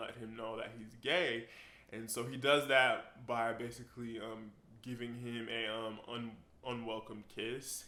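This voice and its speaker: At a fairly slow pace, a man with a medium pitch speaks in a bright, sharp tone. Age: 20s. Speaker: writer and graphic designer. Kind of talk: casual book talk to camera.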